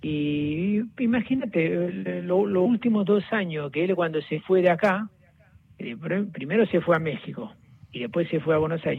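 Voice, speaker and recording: High-pitched with very wide pitch swings, a man talks at a moderate pace. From southern Italy (Naples area). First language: Italian (speaking Spanish). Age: 40s. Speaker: friend of a football star. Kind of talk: phone interview. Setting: phone call.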